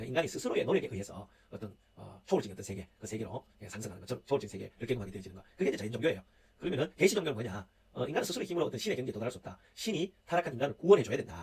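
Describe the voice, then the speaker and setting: The speaker goes at a very fast pace, somewhat breathy, with very wide pitch swings and big swings in loudness. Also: man, medium pitch for a man. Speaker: university lecturer. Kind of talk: online lecture. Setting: recorded video lecture. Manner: many filler sounds.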